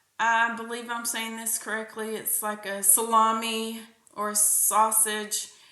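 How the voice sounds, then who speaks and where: A fairly high, monotone, flat woman's voice with an American accent and audible room echo. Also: big swings in loudness. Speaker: podcast host. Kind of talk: casual monologue.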